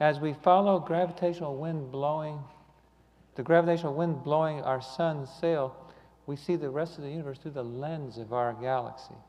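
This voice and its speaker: Audible room echo surrounds a man's fairly high-pitched voice. He keeps a moderate pace and fairly even intonation. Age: 60s. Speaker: lay speaker giving a talk on astronomy. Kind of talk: sermon. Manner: halting, many fillers and repeats.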